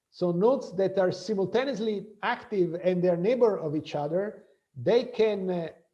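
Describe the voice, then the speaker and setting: The tone is dark and mellow, with ordinary pitch variation at a moderate pace. There's audible echo in the room. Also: man, high pitch for a man. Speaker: professor. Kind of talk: lecture. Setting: video call.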